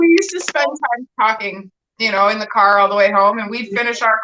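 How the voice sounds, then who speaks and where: A woman speaks loudly with an Ontario accent and a bright, sharp tone. Her pitch is fairly high and her pace fairly quick. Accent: Canadian (Ontario). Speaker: livestream host. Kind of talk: casual chat.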